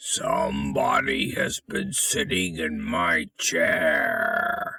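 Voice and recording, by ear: A raspy, gruff put-on character voice from a man, delivered very slowly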